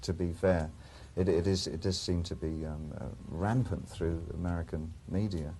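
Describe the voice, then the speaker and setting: In an English accent, the speaker talks at a moderate pace with a dark, mellow tone, vocal fry, and ordinary pitch variation. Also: man, very deep, low pitch for a man. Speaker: musician. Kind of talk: interview question. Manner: calm.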